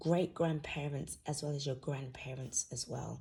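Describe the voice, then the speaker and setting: A woman talks at a fairly slow pace in a somewhat breathy voice with a dark, mellow tone. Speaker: tarot reader. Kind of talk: tarot reading. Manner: casual, hesitant.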